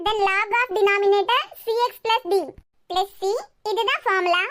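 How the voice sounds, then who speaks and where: Squeaky and extremely high in pitch, a woman performs a cartoonish character voice. Her intonation is fairly even and her pace moderate. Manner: calm, clear.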